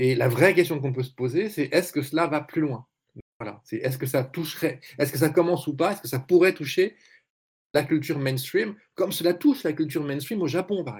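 Somewhat breathy, the voice moves at a fairly quick pace with ordinary pitch variation and big swings in loudness. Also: man, fairly high pitch for a man. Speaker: journalist and essayist. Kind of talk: panel discussion.

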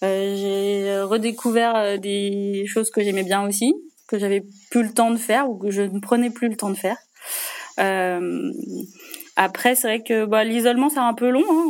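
The woman's pitch is medium, with ordinary variation. She speaks at a moderate pace. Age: 30s. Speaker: general practitioner. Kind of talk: interview testimony. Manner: hesitant, many fillers.

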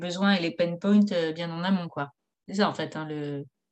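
A woman has a normal speaking voice, fairly low in pitch with ordinary pitch variation. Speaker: podcast host, former lawyer. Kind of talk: interview.

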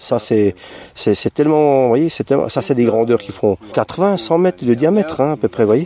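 A man with a dark, mellow tone and a fairly high pitch speaks at a moderate pace. His pitch swings very widely, and the sound is dry and close with no echo. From southern Alsace. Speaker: visitor at a crop circle. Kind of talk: vox pop interview. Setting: outdoors in a wheat field.

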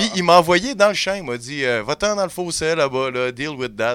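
Fairly high pitch for a man, with very wide pitch swings and a fairly slow pace. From Quebec, Montreal. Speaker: comedy podcast columnist. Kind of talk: humorous storytelling. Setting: studio.

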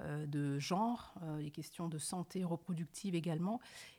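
In a very clean recording with a silent background, a woman speaks at a fairly slow pace in a fairly low, dark, mellow tone with fairly even intonation. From France, Paris suburbs (Évry-Courcouronne). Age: 30s. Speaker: journalist. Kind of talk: interview. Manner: hesitant, frequent repetitions.

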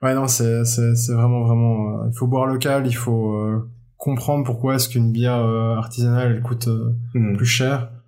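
The voice moves at a moderate pace with a dark, mellow tone, very even loudness and flat, monotone intonation. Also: man, medium pitch for a man. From Belgium, Brussels area (francophone). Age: 30s. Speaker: musician and beer enthusiast. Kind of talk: casual interview chat. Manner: hesitant, many fillers and repetitions.

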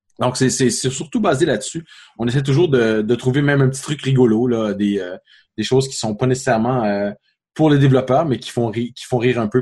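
A man with a Quebec accent speaks at a fairly quick pace and medium pitch, somewhat breathy, with ordinary pitch variation. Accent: Québécois. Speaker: app developer and podcast co-host. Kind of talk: casual chat.

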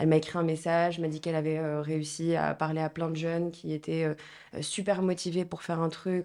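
Her tone dark and mellow, a woman speaks at a moderate pace in a flat monotone with a fairly low pitch. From Morocco, Marrakech. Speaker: association co-founder. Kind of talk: interview.

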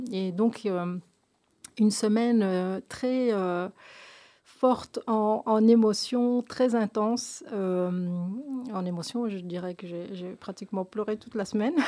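A woman's dark, mellow voice, fairly high in pitch, with ordinary pitch variation, big swings in loudness and a very slow pace on a very clean recording with a silent background. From Belgium, of Moroccan descent. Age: 50s. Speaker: association founder, cancer survivor. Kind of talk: radio interview. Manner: halting, many hesitations and repetitions.

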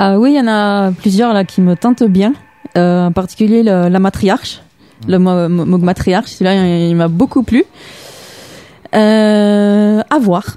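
A woman of medium pitch talks at a very slow pace, leaving long, frequent pauses. Her loudness stays very even, her pitch varies in an ordinary way, and noticeable background noise is present. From Toulouse, southern France. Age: young. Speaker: musician. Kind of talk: radio interview. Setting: radio studio.

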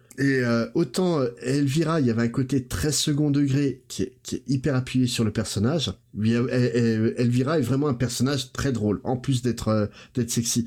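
Somewhat breathy and at a medium pitch, a man speaks at a moderate pace with very even loudness and fairly even intonation. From Portuguese heritage, grew up in France. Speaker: podcast guest, pop-culture commentator. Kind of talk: casual chat.

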